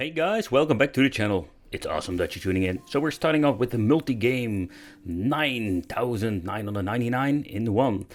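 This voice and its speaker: On a very clean recording with a silent background, a man with a Dutch accent speaks with lively intonation. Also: medium pitch for a man, fairly quick pace. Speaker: YouTuber reviewing handheld games. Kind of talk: product review video. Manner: casual, slightly halting.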